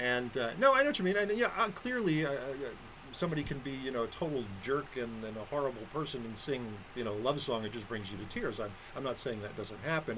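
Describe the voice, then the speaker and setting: At a fairly quick pace, a man of medium pitch talks with lively intonation in an ordinary speaking voice. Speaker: radio co-host. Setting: studio.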